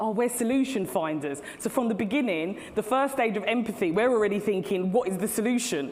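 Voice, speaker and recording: A woman with an English accent talks at a fairly quick pace with ordinary pitch variation, amid audible room echo and noticeable background noise. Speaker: CEO and keynote speaker. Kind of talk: conference keynote talk. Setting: stage with audience. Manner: loud.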